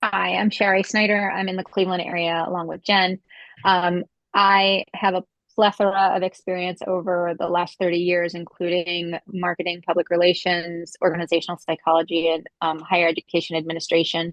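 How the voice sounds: A woman's fairly low voice, monotone and flat in intonation, at a fairly quick pace, dry and close with no echo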